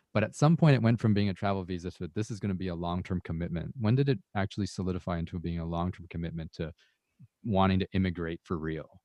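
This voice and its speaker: Speaking very fast, a man with a Canadian accent uses a very deep, low pitch. His pitch varies in an ordinary way. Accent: general Canadian English. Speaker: podcast host. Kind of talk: interview.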